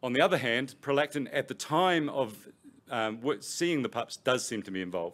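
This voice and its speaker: A man with a New Zealand accent and lively intonation. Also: medium pitch for a man, moderate pace. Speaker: professor. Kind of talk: lecture. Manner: halting, with many fillers and repetitions.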